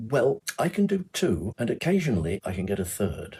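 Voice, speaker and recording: Very wide pitch swings from a medium-pitched man with an English accent, at a moderate pace. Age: 70s. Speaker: retired primary school teacher. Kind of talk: interview answer.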